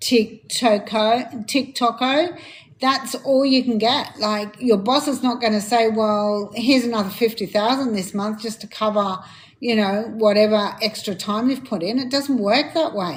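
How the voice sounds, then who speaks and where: Somewhat breathy and fairly slow, the voice shows ordinary pitch variation over a very clean recording with a silent background. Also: woman, fairly high pitch for a woman. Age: 60s. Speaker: livestream host, digital marketer. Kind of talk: live stream chat reading comments. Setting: live stream. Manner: hesitant, many fillers.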